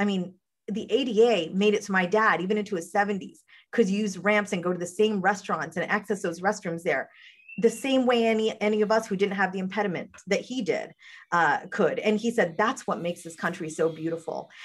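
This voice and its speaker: With an American accent, a woman talks fairly quickly in an ordinary speaking voice, at a medium pitch with ordinary pitch variation. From rural southern West Virginia. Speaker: political strategist. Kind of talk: casual political discussion.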